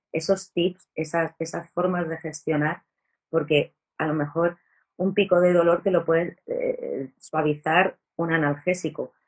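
Speaking slowly in a fairly low voice, a woman keeps a flat, monotone intonation. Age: 40s. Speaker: chronic pain patient advocate. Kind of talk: interview conversation.

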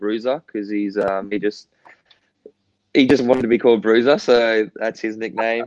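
This man has an Australian accent and a medium pitch. He talks at a fairly quick pace with monotone, flat intonation. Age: 30s. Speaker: professional footballer. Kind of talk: interview.

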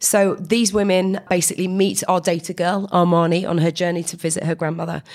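A woman speaks quickly, fairly so, with a British accent. Her voice sits fairly low and her intonation is fairly even. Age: 40s. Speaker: co-founder of a women in data organisation. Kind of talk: podcast interview. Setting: at a conference.

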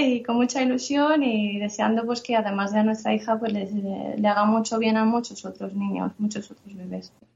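A normal speaking voice goes at a fairly slow pace with fairly even intonation. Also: woman. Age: 30s. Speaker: translator and mother. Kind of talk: interview.

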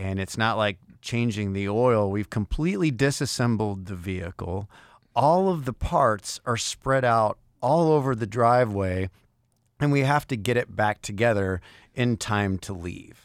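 A man with a plain, everyday voice speaks at a fairly slow pace and medium pitch with ordinary pitch variation, sounding dry and close with no echo on a very clean recording over a silent background. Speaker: musician. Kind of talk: casual chat.

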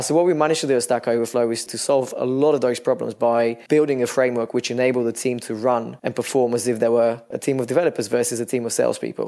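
Talking at a very fast pace with hardly any pauses, a man speaks in a Bulgarian accent. His medium-pitched voice keeps fairly even intonation. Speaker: startup founder. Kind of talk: podcast interview.

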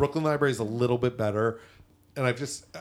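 This is a plain, everyday voice with an American accent. Its pitch variation is ordinary. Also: man. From Massachusetts. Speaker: theater commentator. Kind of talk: casual chat.

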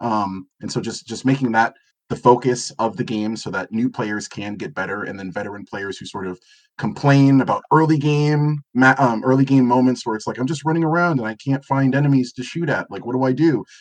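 Using a plain, everyday voice, a man speaks at a fairly quick pace with medium pitch, ordinary pitch variation and big swings in loudness. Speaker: former editor, guest writer.

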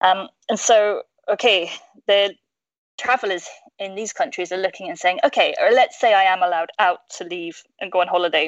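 A woman speaks at a moderate pace with ordinary pitch variation. Her pauses are long and frequent. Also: medium pitch for a woman, big swings in loudness, dry, close sound with no echo. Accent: British. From UK. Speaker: tourism industry professional. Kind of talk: casual chat.

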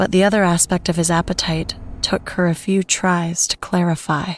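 This woman has a normal speaking voice. Her pitch is fairly low and she speaks at a moderate pace. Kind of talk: ghost story narration.

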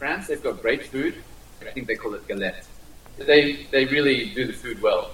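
Amid noticeable background noise, a man with an Australian accent talks at a moderate pace with big swings in loudness. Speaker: diplomat. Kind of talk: interview. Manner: halting.

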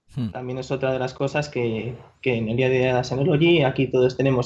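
Somewhat breathy and fairly high, a man speaks in a monotone, flat way at a moderate pace. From Spain, Madrid. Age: 20s. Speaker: tech company product manager. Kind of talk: interview.

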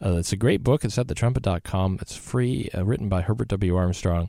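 A man's dark, mellow voice with ordinary pitch variation, on a very clean recording over a silent background. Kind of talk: radio DJ patter: brisk station-ID plugs, web and email sign-offs, upbeat show promos.

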